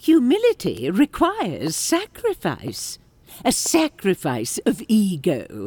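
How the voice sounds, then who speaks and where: This woman has a fairly high pitch and a fairly slow pace. The recording is dry and close, with no echo. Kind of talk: audio drama acting. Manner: measured, wise, stern but cheeky.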